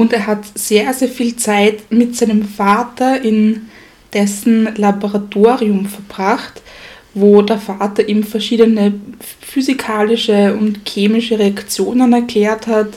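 Over noticeable background noise, a woman speaks at a very slow pace. Her voice is fairly high and her intonation is monotone and flat. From Styria, Austria. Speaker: history podcast co-host. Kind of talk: casual history storytelling.

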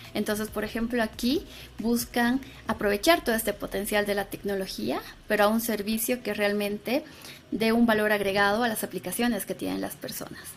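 In an unremarkable speaking voice, a woman speaks at a fairly quick pace and fairly high pitch with ordinary pitch variation. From Bolivia (Sucre). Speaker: AI engineer and instructor. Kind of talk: casual interview.

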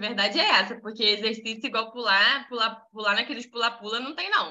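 An animated woman's voice, bright and sharp, fairly high in pitch. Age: 20s. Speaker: women's devotional group leader. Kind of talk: casual devotional talk.

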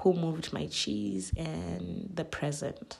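A woman with a Zulu accent speaks at a very slow pace. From South Africa. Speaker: podcast host. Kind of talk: solo reflective monologue.

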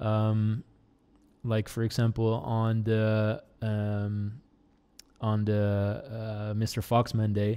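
On a very clean recording with a silent background, a dark, mellow tone unfolds at a very slow pace with very even loudness and a monotone, flat intonation. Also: man, fairly low pitch for a man. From Netherlands. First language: Dutch. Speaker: YouTuber and film director. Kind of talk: casual podcast interview.

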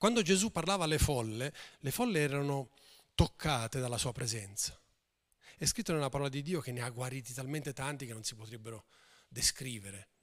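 Speaking at a fairly quick pace, a man with a medium-pitched voice takes long, frequent pauses and swings widely in loudness. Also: lively intonation. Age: 50s. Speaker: pastor. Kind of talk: sermon.

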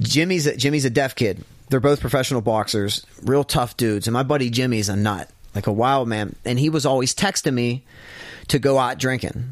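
A man with a normal speaking voice talks at a fairly quick pace, with ordinary pitch variation and very even loudness. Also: medium pitch for a man. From US, Pittsburgh area (Homestead). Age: 40s. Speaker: gym manager and trainer. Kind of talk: casual interview, life story.

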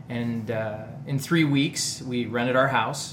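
Amid noticeable background noise and audible room echo, a man speaks at medium pitch with monotone, flat intonation. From northeast Ohio, US. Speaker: video producer. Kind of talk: casual chat.

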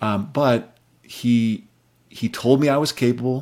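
Fairly even in intonation, a man with an American accent speaks in a dark, mellow tone at medium pitch. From US Midwest, South Dakota. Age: 40s. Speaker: personal finance writer. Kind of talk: casual interview chat. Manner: halting.

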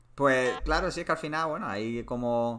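The man's tone is bright and sharp. His intonation holds fairly even. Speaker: podcast host. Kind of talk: casual chat.

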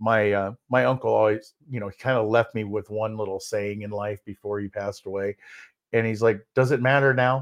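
A man talks at a fairly quick pace with fairly even intonation and a fairly low pitch. The sound is dry and close with no echo over a quiet background. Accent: northern US. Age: 50s. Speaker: keynote speaker and podcast co-host. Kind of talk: casual chat. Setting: live stream. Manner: halting.

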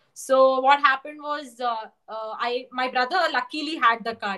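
Her voice is raised and projected, high-pitched for a woman, bright and sharp in tone, with ordinary pitch variation. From India, Bangalore. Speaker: engineering graduate. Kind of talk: casual chat. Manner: talkative.

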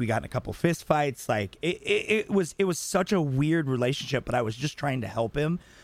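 A man's normal speaking voice, fairly high in pitch, at a fairly quick pace with lively intonation. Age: 30s. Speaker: podcast co-host. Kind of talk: casual chat.

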